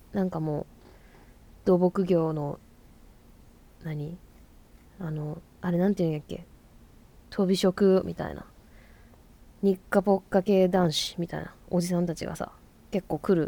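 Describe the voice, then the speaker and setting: Speaking at a fairly slow pace with long, frequent pauses, a woman with a fairly low pitch and a dark, mellow tone keeps a monotone, flat intonation amid big swings in loudness. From Fukuoka, Japan. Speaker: podcast host, musician. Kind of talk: casual monologue.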